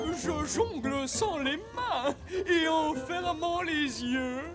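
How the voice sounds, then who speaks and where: A put-on character voice goes at a very slow pace over clear background noise. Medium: fan dub.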